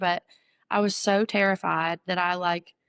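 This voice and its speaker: A woman speaks with an Appalachian accent at a medium pitch. The sound is dry and close, with no echo. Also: very clean recording, silent background. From Western North Carolina. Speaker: ballad singer. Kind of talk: interview answer. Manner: casual, storytelling.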